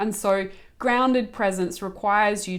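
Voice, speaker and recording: A woman with an Australian accent speaks at a fairly slow pace. Her pitch is medium, with ordinary variation. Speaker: spiritual channel and coach. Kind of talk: spiritual guidance talk.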